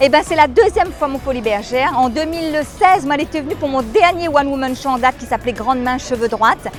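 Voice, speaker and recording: Over music in the background, a woman speaks fairly quickly at a high pitch with lively intonation. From Réunion. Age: 50s. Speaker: comedian. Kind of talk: interview answer.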